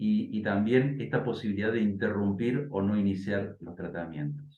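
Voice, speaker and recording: Ordinary pitch variation and a moderate pace from a man with a fairly low voice. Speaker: bioethicist. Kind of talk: interview and debate. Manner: hesitant, many fillers.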